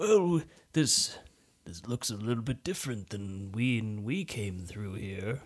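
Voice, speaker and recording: On a very clean recording with a silent background, a put-on character voice speaks at a fairly slow pace. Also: man, medium pitch for a man. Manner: nervous, earnest.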